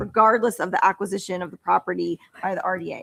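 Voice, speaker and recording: With vocal fry and a medium pitch, a woman speaks at a very fast pace in a dry, close sound with no echo. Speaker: board chair. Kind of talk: board meeting chairing.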